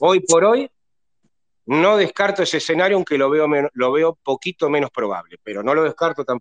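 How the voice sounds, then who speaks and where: A man with an unremarkable speaking voice talks at a moderate pace, his pitch fairly high and his intonation lively. The sound is dry and close, with no echo. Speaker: football fan panelist, astrology commentator. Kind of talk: casual chat. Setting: live online audio room, from bed at home.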